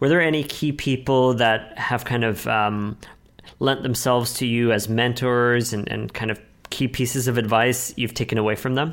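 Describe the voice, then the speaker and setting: Fairly even intonation from a man at a medium pitch, moving at a moderate pace. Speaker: podcast host. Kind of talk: interview, scripted intro. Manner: hesitant, filler words.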